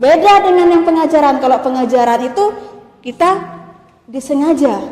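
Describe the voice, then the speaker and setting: Speaking at a moderate pace, a woman with a high voice and a Madurese accent uses ordinary pitch variation. Audible room echo and noticeable background noise fill the recording. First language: Madurese (speaking Indonesian). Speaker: university lecturer. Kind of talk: lecture.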